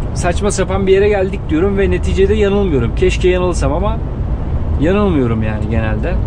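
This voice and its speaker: With noticeable background noise, a man talks at a moderate pace. His voice is very deep and low, yet it swings very widely in pitch. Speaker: truck driver vlogger. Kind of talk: casual vlog chat. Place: car.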